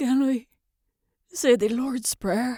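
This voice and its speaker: The speaker puts on a raspy character voice. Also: woman. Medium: read story.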